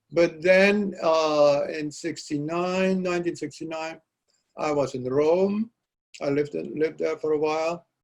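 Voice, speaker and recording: A man speaks with a Dutch accent, his pitch fairly high for a man. He talks at a fairly slow pace with fairly even intonation. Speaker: poet. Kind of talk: interview. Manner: halting.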